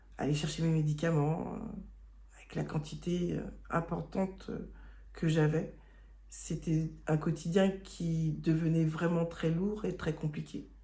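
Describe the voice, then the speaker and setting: A woman speaks at a very slow pace with long, frequent pauses and audible room echo. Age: 40s. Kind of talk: testimony. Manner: halting.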